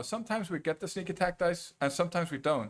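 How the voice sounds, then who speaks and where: A man speaks at a fairly high pitch, with vocal fry. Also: very clean recording, silent background. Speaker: game streamer. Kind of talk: live gameplay commentary. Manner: slurred.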